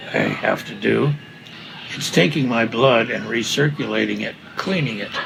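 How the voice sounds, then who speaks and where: A man speaks at a moderate pace. Noticeable background noise sits behind his voice. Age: 80s+. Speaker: retired architect. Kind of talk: casual chat.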